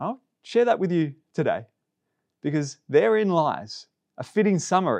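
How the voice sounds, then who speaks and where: High-pitched man at a moderate pace with lively intonation, in a dry, close sound with no echo and a quiet background. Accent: Australian. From Melbourne, Australia. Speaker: pastor. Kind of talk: sermon.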